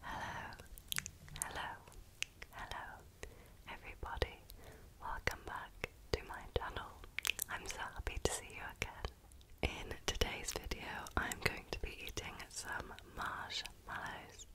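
A woman whispers fairly slowly, with long pauses coming often. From United Kingdom. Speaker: ASMR creator. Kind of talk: ASMR whisper ramble. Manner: whispered, soft-spoken. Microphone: studio mic.

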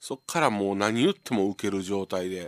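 In a Kansai accent, a man with a fairly low pitch speaks at a moderate pace on a very clean recording with a silent background. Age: 50s. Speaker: radio host, comedian. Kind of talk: live radio monologue. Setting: radio studio with empty gallery. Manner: casual, filler-heavy with laughs.

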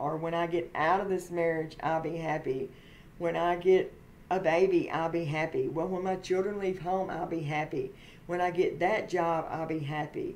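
A woman talks at a moderate pace in a monotone, flat intonation. Light background noise is present. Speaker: faith vlogger. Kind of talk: casual vlog sermon-like chat. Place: home room. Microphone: webcam.

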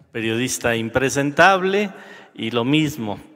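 A man speaks at a medium pitch with lively intonation. The background is quiet. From Mexico. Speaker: senator. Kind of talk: parliamentary speech. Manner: combative. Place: hall. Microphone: podium.

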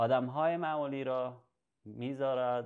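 This man has a fairly high pitch and speaks at a very slow pace. There is a quiet background. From Iran, left at age 9. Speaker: educational video host. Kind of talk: tutorial. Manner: halting. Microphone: webcam.

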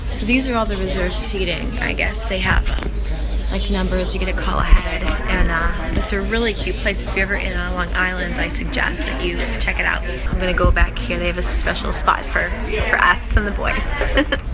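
Moderately paced female speech, clear music behind it. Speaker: travel vlogger. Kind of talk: casual vlog chat. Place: cafe. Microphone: phone near.

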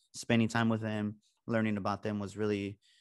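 Speaking at a fairly quick pace, the man moves briskly through his words.

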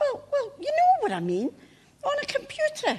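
Here is a squeaky, put-on character voice. It moves at a moderate pace. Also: woman. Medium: stage play. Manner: mishears, indignant.

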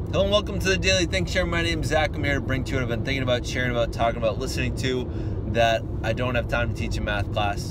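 Over loud background noise, a man talks at a very fast pace, the sound dry with no echo. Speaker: math teacher vlogger. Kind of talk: casual vlog chat. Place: car. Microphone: phone near.

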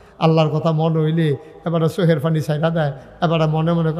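A man's voice with noticeable background noise. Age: 50s. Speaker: preacher. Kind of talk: sermon. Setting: stage with audience. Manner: animated.

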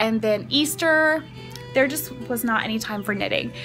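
Clear music plays behind a woman talking at a fairly quick pace. Her pitch shifts in an ordinary way. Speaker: vlogger. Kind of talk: casual vlog chat. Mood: cheerful, relaxed. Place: garden. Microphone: phone near.

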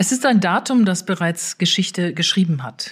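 Somewhat breathy and moving at a moderate pace, the voice has lively intonation on a very clean recording with a silent background. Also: woman. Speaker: newspaper political editor, podcast host. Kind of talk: podcast introduction.

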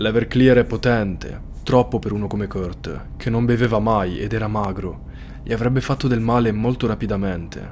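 A man speaks at a moderate pace in a serious tone with fairly even intonation, music playing in the background. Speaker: true crime storyteller. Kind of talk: true-crime narration. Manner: suspenseful, serious storytelling. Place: home room. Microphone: studio mic.

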